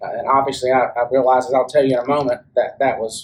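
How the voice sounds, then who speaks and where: Pitched fairly high, a man talks with a Southern US accent. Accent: Southern US (Georgia). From US South, Rome, Georgia. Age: 40s. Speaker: church member giving testimony. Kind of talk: testimony. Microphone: speaking without the microphone.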